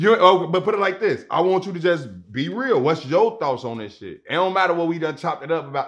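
Over a quiet background, a man with an American accent and vocal fry speaks at a very fast pace with lively intonation. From Chicago South Side. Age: 30s. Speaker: podcast host. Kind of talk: casual interview. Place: studio. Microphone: lapel.

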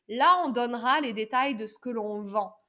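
The voice has a bright, sharp tone and ordinary pitch variation. The background is quiet. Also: woman. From southern France. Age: 30s. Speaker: pitch and public speaking coach; public speaking coach. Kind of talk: podcast interview. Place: home room. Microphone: webcam.

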